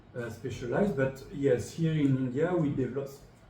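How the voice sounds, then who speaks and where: A man with a French accent, fairly high and somewhat breathy, fairly quick, with ordinary pitch variation and audible room echo. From France. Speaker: design school head. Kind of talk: interview.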